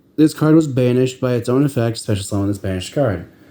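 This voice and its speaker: This man has a dark, mellow tone and lively intonation. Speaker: card game deck reviewer. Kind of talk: tutorial. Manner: halting, self-correcting.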